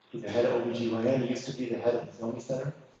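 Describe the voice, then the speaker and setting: Speaking with an American accent, a man keeps a medium pitch and fairly even intonation amid audible room echo. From US Midwest. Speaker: pastor and community organizer. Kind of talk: workshop presentation. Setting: church hall with audience, no air conditioning.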